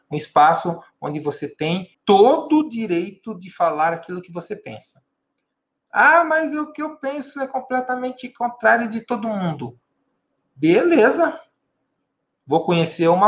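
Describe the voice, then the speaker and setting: The pitch swings very widely and the loudness shifts a lot. The pace is moderate. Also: man. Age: 50s. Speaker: mentor and philosopher, video host. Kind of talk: casual monologue to camera. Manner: conversational, informal.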